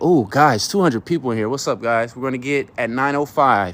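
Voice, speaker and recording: In a plain, everyday voice, a man of medium pitch talks at a fairly quick pace. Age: 30s. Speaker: live streamer. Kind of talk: livestream talk to audience. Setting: outdoors at night, near his car. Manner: casual, with many fillers and restarts.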